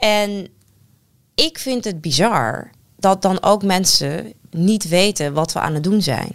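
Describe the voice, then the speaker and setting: At a medium pitch, the woman talks very slowly with lively intonation. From Netherlands. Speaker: politician. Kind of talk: casual chat. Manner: clear.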